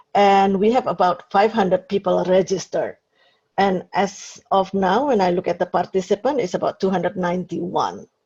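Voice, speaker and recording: A woman with a medium pitch speaks at a moderate pace, her intonation fairly even. Her voice is somewhat breathy, with a dark, mellow tone. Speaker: webinar host. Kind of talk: webinar introduction. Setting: video webinar.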